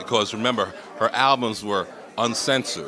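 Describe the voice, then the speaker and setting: Over crowd noise and audible room echo, a man with an American accent speaks at medium pitch with ordinary pitch variation. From New York, the Bronx. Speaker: community development executive. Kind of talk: interview. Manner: casual.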